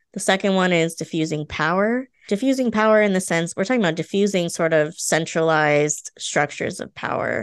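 An unremarkable speaking voice moves at a fairly quick pace with lively intonation. The background is quiet. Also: woman. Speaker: podcast host. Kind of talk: casual conversational chat.

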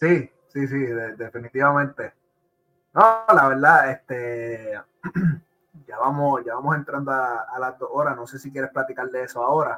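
A man with medium pitch and a bright, sharp tone speaks at a moderate pace with fairly even intonation. His loudness swings widely, and he takes long, frequent pauses. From Puerto Rico. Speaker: podcast host. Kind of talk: casual chat. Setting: live stream.

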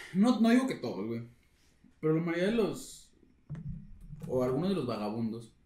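A man with a Mexican accent talks at a moderate pace and a fairly high pitch, with very wide pitch swings. Long, frequent pauses break up his speech, and room echo is audible. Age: 20s. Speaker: podcast co-host. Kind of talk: casual chat.

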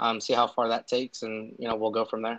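A man with an American accent. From Southern California. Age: 20s. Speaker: aspiring soccer journalist. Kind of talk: casual interview. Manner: hesitant, many fillers.

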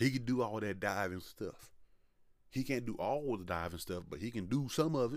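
At a moderate pace, a man with medium pitch uses an ordinary speaking voice and lively intonation. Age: 20s. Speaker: wrestling podcast host. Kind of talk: solo commentary podcast.

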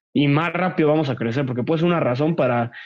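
The speaker is a man with a fairly high pitch. He moves along at a fairly quick pace. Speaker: former college athlete, office worker. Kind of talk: casual chat. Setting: video call.

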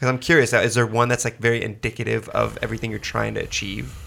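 On a very clean recording with a silent background, a man's voice carries vocal fry. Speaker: podcast host. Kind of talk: casual interview.

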